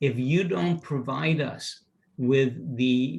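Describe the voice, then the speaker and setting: The man's voice is somewhat breathy and medium in pitch. His pitch varies in an ordinary way. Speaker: presenter and teacher on company culture. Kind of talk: lecture.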